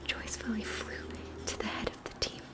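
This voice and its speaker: A woman's whisper at a moderate pace, over noticeable background noise. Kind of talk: storybook poem reading. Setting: home, close-mic ASMR. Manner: gentle rhythmic read-aloud.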